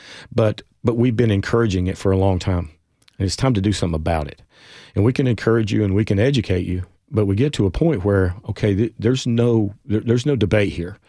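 Very fast speech from a man with an American accent, fairly low in pitch, dark and mellow in tone, with ordinary pitch variation against a quiet background. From East Tennessee. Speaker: physician and addiction medicine advocate. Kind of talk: interview. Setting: studio.

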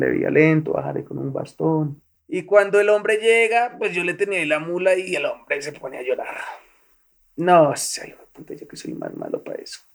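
The speaker is a man. He talks at a moderate pace. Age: 30s. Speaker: former guerrilla fighter. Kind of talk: testimony.

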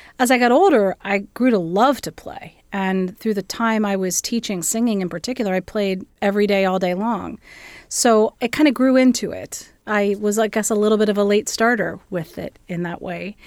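A Midwestern American accent with hardly any pauses. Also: woman, medium pitch for a woman, ordinary pitch variation, moderate pace, very clean recording, silent background. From US Midwest, southeastern Ohio. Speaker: music school dean. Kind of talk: interview.

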